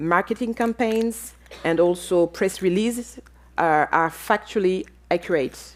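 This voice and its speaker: A woman with a French accent speaks at a fairly slow pace in a medium-pitched voice, with ordinary pitch variation and very even loudness. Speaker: panelist on business and democracy. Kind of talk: conference panel talk. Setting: auditorium with audience and online viewers. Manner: halting, many fillers.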